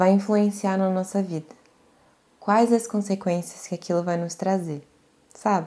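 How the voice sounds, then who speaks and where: Medium in pitch, a woman's voice carries a warm tone that is also dark and mellow. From Brazil, mostly North and Northeast (Bahia, Pará, Amapá). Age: 20s. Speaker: podcast host. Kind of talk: personal monologue. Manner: casual, warm.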